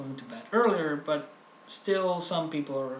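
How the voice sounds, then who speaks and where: A man at a fairly slow pace with ordinary pitch variation and audible room echo. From Netherlands. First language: Dutch. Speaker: comedic video host. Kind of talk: comedic tutorial monologue.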